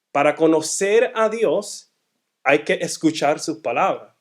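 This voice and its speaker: A man's high-pitched voice at a very slow pace. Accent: Puerto Rican. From Puerto Rico, then Massachusetts from age eight. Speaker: guest speaker at a church. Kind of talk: sermon-style teaching talk. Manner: halting, frequent self-corrections.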